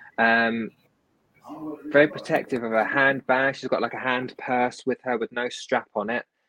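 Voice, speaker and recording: This man has a London accent, a medium pitch and a bright, sharp tone. He talks at a moderate pace with fairly even intonation, and the sound is dry and close with no echo. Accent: British English, London area. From southern England, near London. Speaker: medium and healer, author. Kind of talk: casual interview, readings.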